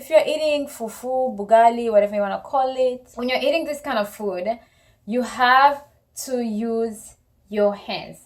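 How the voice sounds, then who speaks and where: A woman's high voice with an African accent, at a moderate pace, with ordinary pitch variation and big swings in loudness. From Congo. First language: Congolese languages (not English). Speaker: couple vlogger. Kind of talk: casual chat.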